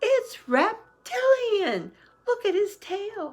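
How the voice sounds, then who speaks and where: Squeaky and extremely high, a put-on character voice comes out at a very slow pace. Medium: read story. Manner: excitable.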